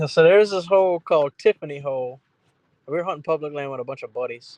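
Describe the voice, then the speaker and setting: Speaking very fast with a Louisiana accent, a man uses a fairly high pitch with ordinary pitch variation and big swings in loudness, in a dry, close recording with no echo. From South Louisiana. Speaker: duck hunter. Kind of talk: casual chat. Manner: slight stumble when excited.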